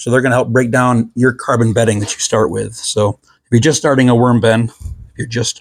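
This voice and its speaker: A man puts on a raspy character voice at a medium pitch. He moves at a fairly quick pace, and his loudness swings a lot. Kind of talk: enthusiastic explainer. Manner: talking fast.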